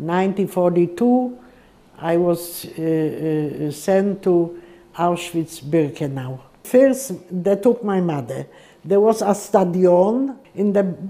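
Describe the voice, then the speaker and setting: Noticeable background noise sits behind a woman at a medium pitch. She talks at a very slow pace with ordinary pitch variation. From Poland. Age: 80s+. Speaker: Holocaust survivor. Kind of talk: testimony. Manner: halting.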